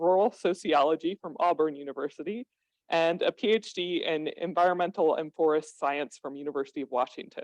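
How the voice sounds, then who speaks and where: A woman with a normal speaking voice talks at a moderate pace with ordinary pitch variation and hardly any pauses, in a dry, close sound with no echo. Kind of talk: seminar speaker introduction.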